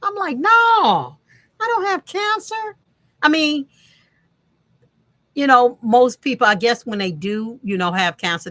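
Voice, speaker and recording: A woman speaks at a fairly slow pace. The recording is dry and close, with no echo. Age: 60s. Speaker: vlogger sharing alopecia journey. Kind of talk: casual vlog talk. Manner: hesitant with many fillers.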